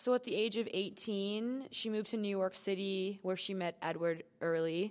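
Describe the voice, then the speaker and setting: In a Canadian accent, a normal speaking voice moves at a moderate pace with ordinary pitch variation. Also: woman. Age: 20s. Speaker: student podcast co-host. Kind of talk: casual chat.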